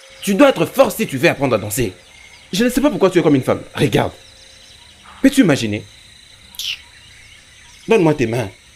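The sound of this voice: A man puts on a character voice, fairly high in pitch with a slightly husky edge and big pitch swings. He keeps a moderate pace but leaves long, frequent pauses.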